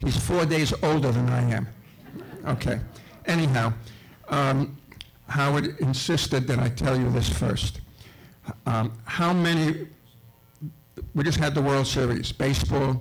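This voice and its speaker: Speaking fairly slowly with a New York accent, a man of medium pitch keeps a very even loudness and ordinary pitch variation, leaving long, frequent pauses. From Brooklyn, New York. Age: 70s. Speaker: local historian. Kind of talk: speech to an audience.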